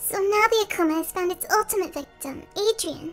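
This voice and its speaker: A female-sounding, put-on character voice speaks at an extremely high pitch in a gentle tone. Clear music plays in the background. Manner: gentle, caring, worried.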